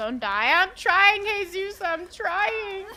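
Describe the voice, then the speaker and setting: A woman's raised, projected voice comes through animated, with very wide pitch swings, over noticeable background noise. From New Jersey. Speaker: gaming streamer. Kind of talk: live gameplay stream chat. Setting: live stream.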